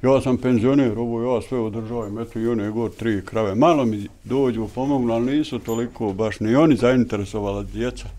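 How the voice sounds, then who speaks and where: A man's dark, mellow voice at a fairly quick pace, fairly even in intonation, with hardly any pauses. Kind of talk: interview answer. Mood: relaxed, good-humoured. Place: farm machine. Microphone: handheld.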